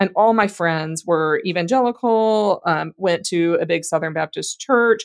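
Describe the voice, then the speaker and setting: A woman with an American accent, an ordinary speaking voice, lively intonation and a moderate pace, in a dry, close sound with no echo. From Louisiana, US South. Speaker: guest co-host, seminary-trained. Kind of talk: casual chat.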